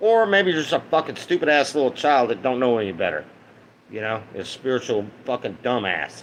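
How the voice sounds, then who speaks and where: A man talks at a fairly quick pace with an American accent. His pitch swings very widely. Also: medium pitch for a man. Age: 50s. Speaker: live streamer. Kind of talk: casual livestream monologue. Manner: slurred speech at times; rambling, halting.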